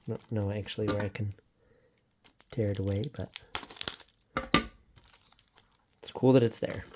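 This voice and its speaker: Long, frequent pauses break up delivery that moves fairly slowly. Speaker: blu-ray collector / unboxing video host. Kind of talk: casual unboxing talk to camera.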